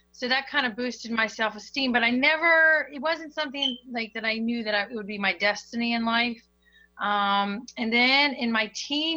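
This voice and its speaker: A woman with an American accent talks at a fairly quick pace. Her pitch is fairly high with ordinary variation, and her tone is bright and sharp. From Maryland, US (Hagerstown). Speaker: singer and session vocalist. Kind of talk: casual interview chat. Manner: animated.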